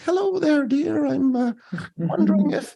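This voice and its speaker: Someone speaks in a put-on character voice at a fairly high pitch. The pace is moderate. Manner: polite, friendly.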